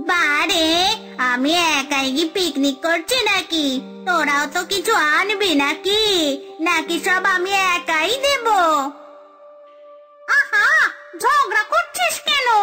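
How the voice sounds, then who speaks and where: A cartoonish character voice talks at an extremely high pitch and a fairly slow pace. Clear music plays in the background. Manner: bickering, greedy, cackling.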